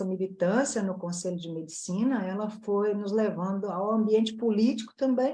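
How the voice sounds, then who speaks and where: A woman with a dark, mellow, somewhat breathy tone, medium pitch and ordinary pitch variation at a fairly slow pace. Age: 60s. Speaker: plastic surgeon. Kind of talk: casual panel chat.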